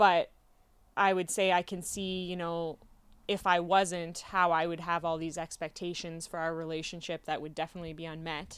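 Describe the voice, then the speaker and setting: A woman with a Canadian accent speaks at a moderate pace in a fairly low, monotone voice whose loudness swings widely, captured in a very clean recording with a silent background. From Canada. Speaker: professional kickboxer. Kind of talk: interview conversation.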